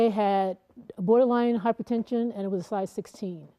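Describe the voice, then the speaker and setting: At a fairly quick pace, a woman speaks in an ordinary speaking voice with a medium pitch and ordinary pitch variation. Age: 60s. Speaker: long-distance motorcyclist. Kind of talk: interview.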